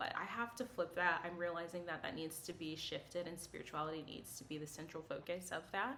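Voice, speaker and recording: Amid noticeable background noise and audible room echo, a woman talks very fast with a fairly low pitch and ordinary pitch variation. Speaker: psychic medium and artist. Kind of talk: casual chat to camera. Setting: filmed on camera. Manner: rambling with many fillers.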